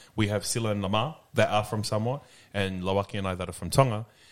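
There is ordinary pitch variation as a man with a fairly low voice and an Australian accent speaks on a very clean recording with a silent background. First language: English; barely speaks Tongan. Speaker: podcast host. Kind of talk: casual chat.

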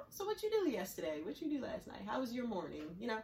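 Her voice is somewhat airy and sits fairly high as the woman talks. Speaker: podcast host.

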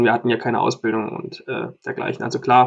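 This is a man speaking. His pace is very fast. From Thuringia. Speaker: musician and music podcast co-host. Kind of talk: casual chat.

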